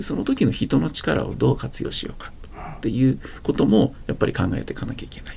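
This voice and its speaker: A man rattles along at a very fast pace, his loudness swinging widely. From rural Japan. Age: 50s. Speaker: startup CEO. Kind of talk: interview.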